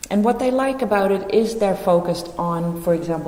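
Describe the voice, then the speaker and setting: In a room with audible echo and noticeable background noise, a woman talks at a fairly quick pace with ordinary pitch variation. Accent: Dutch. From Netherlands. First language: Dutch. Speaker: teacher. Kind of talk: presentation.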